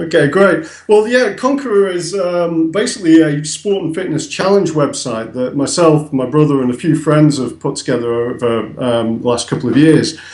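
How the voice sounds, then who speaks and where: In a northern English accent, the speaker talks at a moderate pace with lively intonation and hardly any pauses, with audible room echo and noticeable background noise. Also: man, fairly high pitch for a man. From northern England. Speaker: website founder. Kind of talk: interview. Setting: call from England. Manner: hesitant, many fillers.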